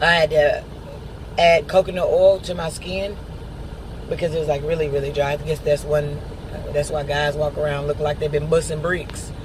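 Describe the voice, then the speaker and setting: The speech has long, frequent pauses, with noticeable background noise behind it. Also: moderate pace. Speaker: video blogger and truck driver. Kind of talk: casual video diary update. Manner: hesitant, many filler words.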